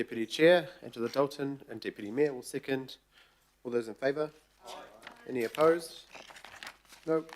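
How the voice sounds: A croaky man's voice at a medium pitch and moderate pace, with ordinary pitch variation and long, frequent pauses.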